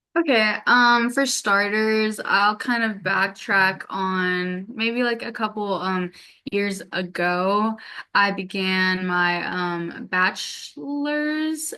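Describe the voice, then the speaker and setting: Against a quiet background, a woman with a bright, sharp tone speaks very slowly at medium pitch with ordinary pitch variation. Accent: American. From US South, Atlanta. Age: 20s. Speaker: graduate student in social work. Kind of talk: interview. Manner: halting, many fillers.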